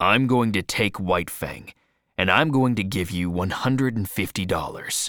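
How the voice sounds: Against a quiet background, the clip has a natural reading voice.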